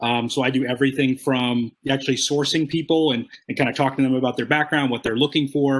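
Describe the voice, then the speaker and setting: A man at medium pitch speaks at a very fast pace in a monotone, flat way. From New England, Rhode Island. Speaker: technical recruiter. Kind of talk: presentation at chapter meeting. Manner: hesitant, many fillers.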